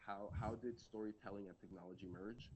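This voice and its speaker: Pitched fairly low, a man talks with ordinary pitch variation. He has a Spanish accent. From Colombia. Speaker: data strategist, conference speaker. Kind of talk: presentation talk; Q&A answer about career.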